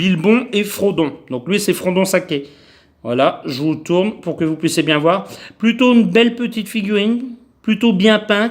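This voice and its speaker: A man's high-pitched voice, fairly slow in pace, with lively intonation. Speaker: toy collector YouTuber. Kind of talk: unboxing video. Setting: home, camera on tripod. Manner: halting, many fillers.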